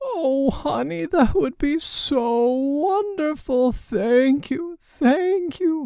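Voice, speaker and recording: A put-on character voice speaks at a high pitch. The pace is very slow, with hardly any pauses. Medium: read story.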